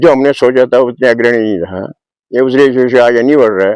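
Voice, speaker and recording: In a dry, close sound with no echo, a man speaks at a moderate pace in a dark, mellow tone. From Garhwal, Uttarakhand. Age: 80s+. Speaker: retired villager. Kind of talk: interview.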